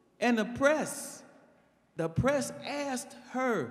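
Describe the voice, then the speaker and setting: A man with an extremely high pitch speaks in an animated tone, with audible echo from the room. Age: 70s. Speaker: teacher. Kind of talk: public comment. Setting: public meeting in school.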